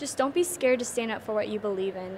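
With noticeable background noise behind her, a woman of fairly high pitch talks at a fairly quick pace. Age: 20s. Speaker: social media influencer. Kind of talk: interview answers. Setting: conference venue.

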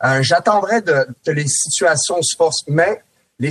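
Heard as a dry, close sound with no echo, a man with a plain, everyday voice speaks at a moderate pace and a fairly high pitch, with ordinary pitch variation. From France. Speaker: former NHL player, hockey analyst. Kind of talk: casual chat. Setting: studio.

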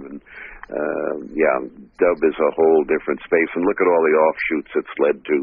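Moderate-paced male speech over noticeable background noise. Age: 70s. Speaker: reggae historian and archivist. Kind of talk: casual interview.

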